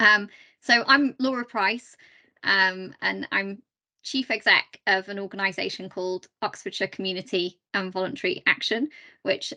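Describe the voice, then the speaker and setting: A woman's medium-pitched voice in a South Yorkshire accent, bright and sharp in tone, at a moderate pace with ordinary pitch variation, a dry, close sound with no echo and a quiet background. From South Yorkshire, Doncaster. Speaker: charity chief executive, guest speaker. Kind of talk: talk to online meeting. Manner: conversational, many fillers.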